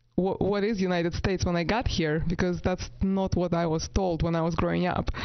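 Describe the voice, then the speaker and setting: Monotone, flat intonation at a moderate pace. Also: woman. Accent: non-native. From Latvia. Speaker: real estate agent. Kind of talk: interview.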